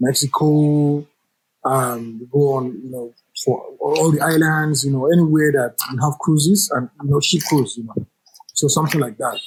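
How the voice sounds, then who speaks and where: With fairly even intonation, a man speaks at a moderate pace in a fairly high, somewhat breathy voice. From Nigeria. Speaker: jazz saxophonist. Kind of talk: interview.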